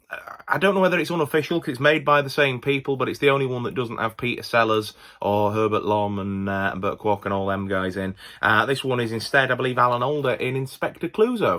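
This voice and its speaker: Talking at a very fast pace, a man with a Yorkshire accent keeps a medium pitch. His intonation is lively. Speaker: movie collector YouTuber. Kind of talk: casual video haul commentary. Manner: casual, with many fillers and restarts.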